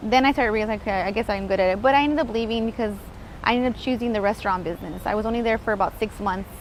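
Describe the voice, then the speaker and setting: A woman talks very fast in a fairly high voice. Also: ordinary pitch variation. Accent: American. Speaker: real estate investor. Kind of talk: interview. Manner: animated.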